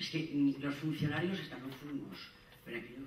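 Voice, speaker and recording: A man at a moderate pace, fairly high in pitch, with audible room echo and light background noise. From Zaragoza, Aragon, Spain; Aragon. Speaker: conference panelist. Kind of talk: conference talk. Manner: animated, informal. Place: hall.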